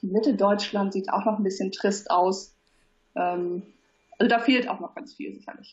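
Her voice is somewhat breathy and medium in pitch, and this woman talks at a moderate pace with ordinary pitch variation and big swings in loudness. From Hamburg, northern Germany. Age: 30s. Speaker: platform founder. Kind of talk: interview. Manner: hesitant, many fillers.

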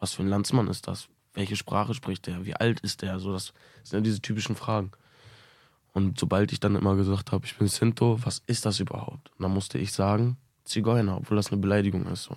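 A man with a plain, everyday voice speaks at a fairly quick pace, his pitch fairly low. The recording is very clean with a silent background. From Münster, Germany. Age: 20s. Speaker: musician. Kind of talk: interview.

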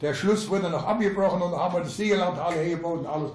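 Ordinary pitch variation comes through along with audible room echo and noticeable background noise. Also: man. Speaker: elderly local resident. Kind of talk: reminiscing storytelling.

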